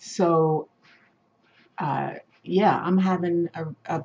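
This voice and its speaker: A woman speaks with a fairly low, somewhat breathy voice and fairly even intonation. Her pauses are long and frequent. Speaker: video blogger living with multiple sclerosis. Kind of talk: casual talk to camera. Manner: slow speech with hesitations and word-finding difficulty.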